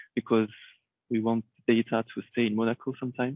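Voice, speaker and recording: Someone with a French accent talks at a fairly quick pace in a monotone, flat intonation. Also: man. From Réunion Island. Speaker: IT consultant. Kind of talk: conference talk.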